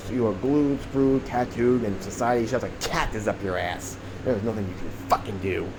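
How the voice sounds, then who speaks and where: Over noticeable background noise and audible room echo, a man speaks at a fairly quick pace with a medium pitch and ordinary pitch variation. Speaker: conspiracy vlogger. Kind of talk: rant monologue. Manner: rambling, halting; profane, agitated.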